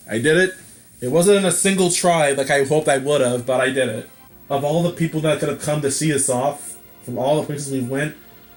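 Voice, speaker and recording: A man's fairly high voice at a moderate pace, with ordinary pitch variation and music in the background. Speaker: gamer. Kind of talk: let's play commentary. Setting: laptop mic. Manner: casual, sarcastic.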